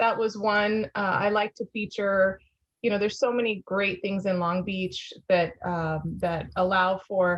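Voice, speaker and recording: A woman with a Spanish accent talks at a medium pitch and a fairly slow pace. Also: fairly even intonation. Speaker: former magazine founder and publisher. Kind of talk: interview. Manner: halting, many fillers.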